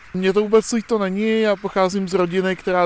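Fairly quick delivery with fairly even intonation against noticeable background noise. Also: man. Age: 30s. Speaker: passer-by in street poll. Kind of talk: street interview.

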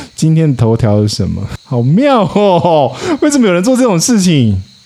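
Noticeable background noise sits under this recording. The man's pitch swings very widely. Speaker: podcaster. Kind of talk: casual chat. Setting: outdoors at a hillside teahouse.

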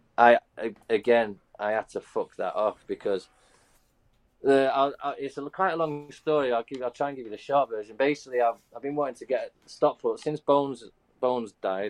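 Recorded dry and close with no echo, a man talks at a moderate pace in a fairly high pitch with ordinary pitch variation. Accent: English. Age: 30s. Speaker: pro inline skater. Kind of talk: casual chat.

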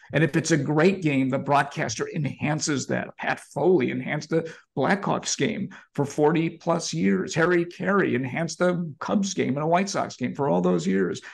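A man's fairly high voice with lively intonation and vocal fry, against a quiet background. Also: moderate pace. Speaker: sports journalist and podcast host. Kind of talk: interview conversation.

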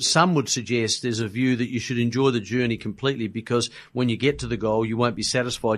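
A man speaks in an Australian accent at a fairly quick pace. His pitch is medium and his intonation fairly even. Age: 60s. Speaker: podcast host. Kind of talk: interview.

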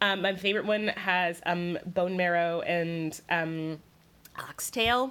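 Woman with an American accent and a bright, sharp tone, medium pitch, ordinary pitch variation and a very slow pace. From US South, South Carolina. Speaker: food writer. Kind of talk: casual chat.

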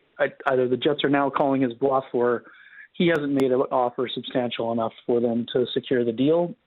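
This is an ordinary speaking voice moving at a moderate pace. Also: man. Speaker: hockey writer. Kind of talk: radio interview. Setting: phone or remote line.

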